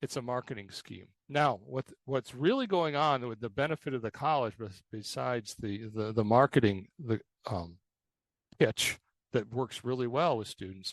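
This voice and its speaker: A man's medium-pitched voice with ordinary pitch variation, in a dry, close sound with no echo and a quiet background. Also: moderate pace. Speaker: college advisor presenter. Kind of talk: presentation. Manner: animated.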